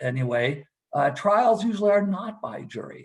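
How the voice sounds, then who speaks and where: A man's voice with very wide pitch swings, at a medium tempo. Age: 60s. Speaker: trademark litigator. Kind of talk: panel discussion. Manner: halting, many repetitions and fillers.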